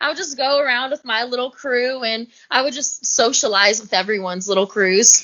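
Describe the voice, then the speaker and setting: A woman talks at a fairly quick pace in a high pitch. She has a Southern US accent. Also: ordinary pitch variation. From US South. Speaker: reality TV competitor. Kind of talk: podcast interview. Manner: animated.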